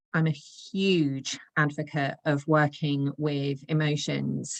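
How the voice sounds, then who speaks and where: A woman's very deep, low voice with monotone, flat intonation and a dry, close sound with no echo. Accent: English. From England. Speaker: intuitive coach. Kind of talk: podcast interview.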